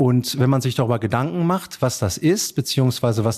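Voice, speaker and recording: A man with an unremarkable speaking voice, medium pitch, lively intonation and moderate pace, against a quiet background. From Germany, Dortmund (Ruhr area). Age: 40s. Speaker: estate executor and bank advisor. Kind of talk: interview.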